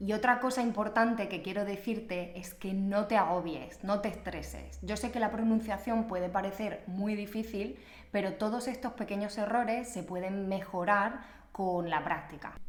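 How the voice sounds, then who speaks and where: A woman speaks with an Extremaduran accent at a moderate pace and medium pitch, with fairly even intonation. Noticeable background noise is present. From Extremadura, Spain.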